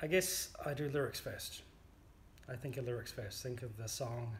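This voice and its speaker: A man with a New Zealand accent at a medium pitch, a moderate pace, and fairly even intonation. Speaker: amateur folk songwriter. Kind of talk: interview. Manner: hesitant, with fillers.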